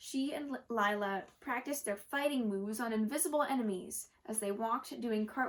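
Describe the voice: The speaker is doing plain reading aloud, with pitch that varies in an ordinary way.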